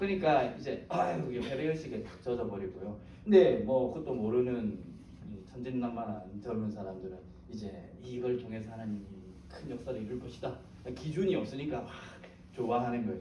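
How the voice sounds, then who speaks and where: With lively intonation and a fairly quick pace, a man's voice comes through noticeable background noise and audible room echo. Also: medium pitch for a man, big swings in loudness. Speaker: pastor / Bible teacher. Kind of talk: lecture. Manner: animated.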